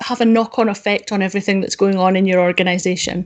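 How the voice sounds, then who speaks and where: A woman with a Scottish accent talks at a fairly quick pace against a quiet background. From Scotland. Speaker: data quality consultant; webinar presenter. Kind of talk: conference talk. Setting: video call with screen share. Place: home room. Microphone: webcam.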